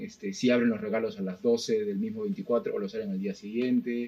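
The speaker's pitch swings very widely. The pace is moderate. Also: man. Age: 40s. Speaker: podcast co-host. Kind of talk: casual chat.

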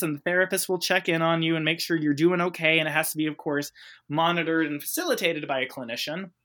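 Loud and energetic, a man with a high pitch and a bright, sharp tone talks at a very fast pace in a very clean recording with a silent background. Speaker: clinical social worker. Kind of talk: podcast interview. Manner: loud, energetic.

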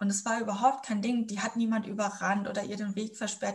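A somewhat breathy, medium-pitched woman's voice at a moderate pace. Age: 20s. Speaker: student teacher. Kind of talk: interview. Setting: video call.

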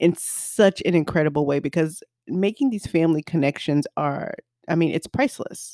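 A woman with an American accent speaks at a fairly low pitch with a dark, mellow tone. The sound is dry and close, with no echo. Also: ordinary pitch variation, moderate pace. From US South. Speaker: podcast co-host. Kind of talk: casual chat.

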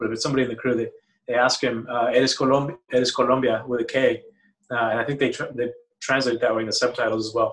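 Very fast delivery in a flat, monotone intonation. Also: man. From Matamoros, northern Mexico. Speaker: photographer. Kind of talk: casual film discussion.

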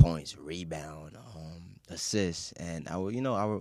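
A man with a New York accent has a very deep, low pitch and a dark, mellow tone. His pitch varies in an ordinary way on a very clean recording with a silent background. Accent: New York English, Haitian family. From Queens, New York. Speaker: sports writer and filmmaker. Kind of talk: casual interview.

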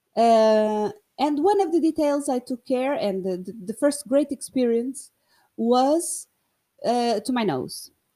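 A woman speaks very slowly with a non-native accent, her pitch high and her intonation lively. Her tone is dark and mellow, and the recording is very clean with a silent background. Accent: non-native English speaker. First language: Portuguese. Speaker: podcast host. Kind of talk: casual monologue. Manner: halting, many fillers and repetitions.

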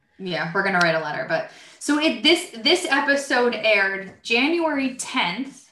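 A bright, sharp New Jersey accent with very wide pitch swings, in a room with audible echo. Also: woman. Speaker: podcast host, IT professional. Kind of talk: casual chat.

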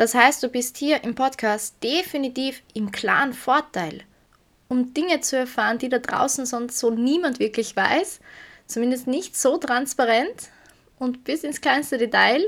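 A woman with an Austrian accent and a high pitch speaks at a fairly slow pace, with ordinary pitch variation. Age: 20s. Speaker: podcast host, self-development coach. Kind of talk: personal monologue.

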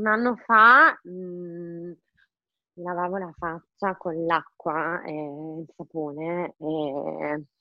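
With ordinary pitch variation, a woman speaks very slowly. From Romagna, Italy (Forlì). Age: 30s. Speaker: online shop owner. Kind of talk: interview.

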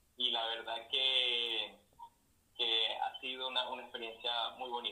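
A man at medium pitch, speaking at a very slow pace. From Venezuela. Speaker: meditation and Reiki practitioner. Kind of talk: casual chat. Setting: Instagram live video.

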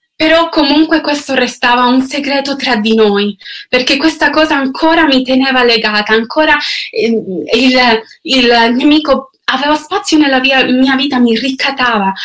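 The loudness stays very even. Pitch varies in an ordinary way. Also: woman, high pitch for a woman, fairly slow pace. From Canada. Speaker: singer. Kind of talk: testimony. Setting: online video livestream. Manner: halting.

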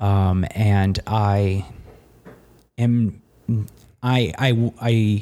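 A man with a fairly low pitch speaks in an American accent with a dark, mellow tone. His intonation is fairly even, and the recording is very clean with a silent background. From US Midwest, Cincinnati, Ohio. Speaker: podcast co-host. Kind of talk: casual conversation. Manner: halting, many fillers.

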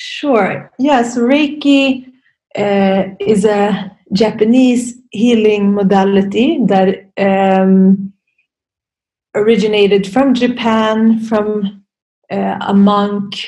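Very slowly and a bit breathily, a woman speaks at a medium pitch in a dark, mellow tone with fairly even intonation. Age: 30s. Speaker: yoga and meditation teacher, Reiki practitioner. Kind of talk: interview conversation.

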